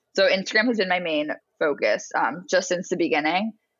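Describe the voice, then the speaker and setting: This woman has a plain, everyday voice at medium pitch. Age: 20s. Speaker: artist and business founder. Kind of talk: casual interview.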